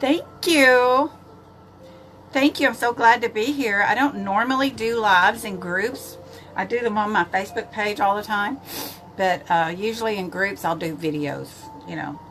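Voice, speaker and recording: Speaking at a moderate pace with long, frequent pauses, a woman with a Texan accent uses a fairly high pitch and lively intonation. Noticeable background noise sits behind her. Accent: Texan Southern US. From East Texas. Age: 70s. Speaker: makeup vlogger. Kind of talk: live makeup tutorial. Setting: livestream. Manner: casual, chatty.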